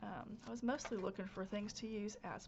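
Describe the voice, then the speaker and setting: Noticeable background noise behind a woman with a fairly high voice. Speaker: crafter, channel host. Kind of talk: casual craft-along chat. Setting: home craft space, recorded instead of live.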